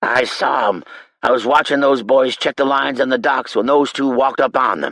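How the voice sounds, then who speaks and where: A man puts on a raspy character voice at a medium pitch. He keeps a moderate pace and fairly even intonation. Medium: read story. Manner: folksy, ungrammatical.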